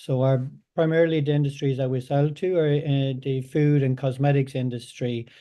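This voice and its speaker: With a strong Irish accent, a man at medium pitch talks at a moderate pace in a monotone, flat way. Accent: thick Irish. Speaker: data science company representative. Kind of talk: webinar presentation. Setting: online webinar. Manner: halting, many fillers and repeats.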